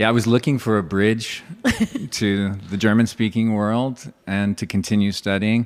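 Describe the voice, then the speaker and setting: A man with a West Coast accent, fairly low pitch, moderate pace and fairly even intonation. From California. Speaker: English teacher and comedian. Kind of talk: podcast interview.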